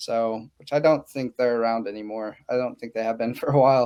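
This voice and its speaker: The tone of this man's voice is dark and mellow. Intonation remains fairly even. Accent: American. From Oklahoma (Woodward, rural). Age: 30s. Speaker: real estate investor. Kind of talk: podcast interview. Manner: casual, many fillers.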